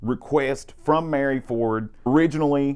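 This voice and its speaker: The man speaks with a strong Southern US accent. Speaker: guitar shop video host. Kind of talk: product demo. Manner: enunciating carefully; animated.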